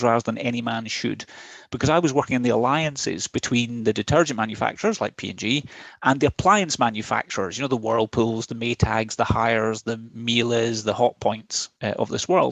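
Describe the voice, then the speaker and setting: At a very fast pace, a man with a Scottish accent talks at a medium pitch with ordinary pitch variation, the sound dry and close with no echo. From west of Scotland, Ayr. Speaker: chief technology officer. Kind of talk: presentation.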